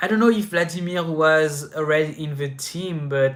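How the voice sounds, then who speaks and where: A man with a French accent talks at a fairly slow pace. His pitch is fairly high and his intonation fairly even. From France. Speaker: inline skating youtuber. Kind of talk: live stream Q&A. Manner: casual, many fillers and restarts.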